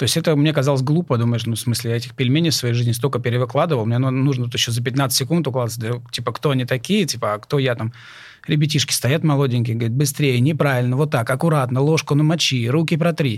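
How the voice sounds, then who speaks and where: On a very clean recording with a silent background, a man speaks at a very fast pace in a somewhat breathy, medium-pitched voice with fairly even intonation and very even loudness. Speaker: chef and culinary instructor. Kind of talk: casual chat. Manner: hesitant, filler-heavy.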